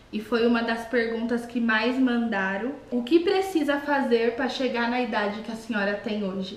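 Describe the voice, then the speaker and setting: A woman speaks with a high pitch. The room echo is audible. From Brazil. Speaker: YouTuber. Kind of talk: casual chat. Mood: warm, cheerful. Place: kitchen. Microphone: webcam.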